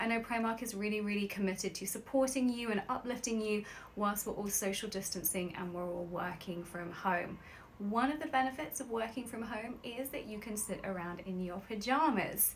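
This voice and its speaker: Noticeable background noise and audible room echo surround a woman speaking at a fairly high pitch and moderate pace with ordinary pitch variation. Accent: English. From London, England. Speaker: nutritionist and sleep expert. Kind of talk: sponsored live stream chat. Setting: live video stream from home bedroom. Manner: upbeat, chatty.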